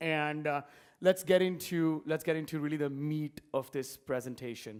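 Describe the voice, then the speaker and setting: In a very clean recording with a silent background, a man speaks at a fairly high pitch. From India, Mumbai. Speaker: entrepreneur. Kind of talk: conference talk. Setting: stage with audience. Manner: fast.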